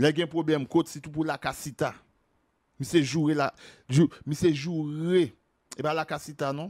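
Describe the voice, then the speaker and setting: In a very clean recording with a silent background and a dry, close sound with no echo, a man with a fairly high pitch speaks at a fairly slow pace in a monotone, flat intonation, with long, frequent pauses and big swings in loudness. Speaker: video commentator on celebrity gossip. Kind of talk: angry rant, gossip commentary.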